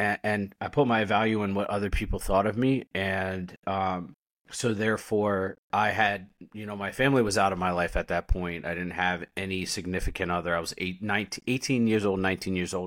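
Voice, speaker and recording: A man with an American accent speaks at a moderate pace in a fairly low pitch. He has a plain, everyday voice and fairly even intonation. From United States. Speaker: military veteran and recovery podcaster. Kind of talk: casual interview chat. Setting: video call.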